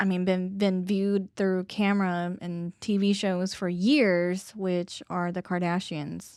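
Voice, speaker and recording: On a very clean recording with a silent background, a woman speaks at medium pitch and a very slow pace. She hardly pauses, and her intonation is fairly even. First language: not English. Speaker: podcast host. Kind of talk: casual chat. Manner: hesitant, many fillers.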